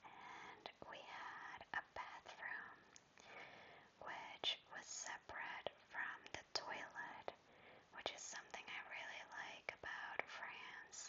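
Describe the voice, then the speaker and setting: Very slowly, a woman speaks in a whisper. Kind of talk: ASMR travel vlog voice-over. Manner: whispered; soft, calming.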